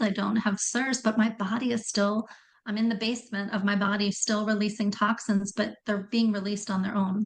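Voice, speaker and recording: Her fairly high voice comes out somewhat breathy and flat in intonation, moving at a moderate pace. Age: 60s. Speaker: functional health coach. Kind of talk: podcast interview.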